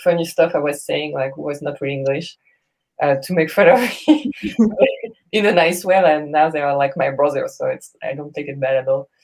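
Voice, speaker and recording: A woman speaks in a French accent at a moderate pace. Her pitch is very deep and low. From France. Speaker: jazz singer. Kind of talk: casual chat.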